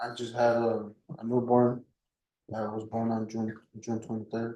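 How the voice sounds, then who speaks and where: Quietly, a man speaks in a flat monotone with a dark, mellow tone. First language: Spanish. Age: 20s. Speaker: criminal defendant. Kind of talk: court testimony. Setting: courtroom. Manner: halting.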